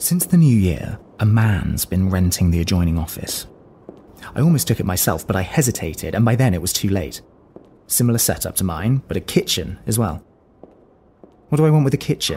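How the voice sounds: Delivered at a moderate pace, this put-on character voice has a dark, mellow tone with a slightly husky edge and big pitch swings. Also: man, low pitch for a man.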